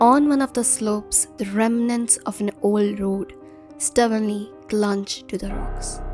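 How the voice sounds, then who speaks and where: A woman's fairly high voice with lively intonation over background music. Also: fairly slow pace. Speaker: audiobook narrator. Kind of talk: audiobook narration.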